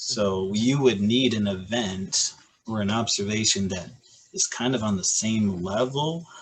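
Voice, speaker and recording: Speaking with a Michigan accent, a man talks fairly slowly in a fairly low voice. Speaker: high school physics teacher. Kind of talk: casual chat.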